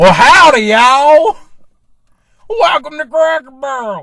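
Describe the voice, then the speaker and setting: A put-on character voice drawls at a fairly slow pace, high-pitched and with very wide pitch swings. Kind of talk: casual, country. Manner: folksy, drawling.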